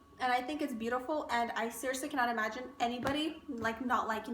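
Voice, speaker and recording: Amid audible room echo and noticeable background noise, a woman with a high pitch speaks at a very fast pace. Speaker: beauty and fashion vlogger. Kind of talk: casual chat. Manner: animated.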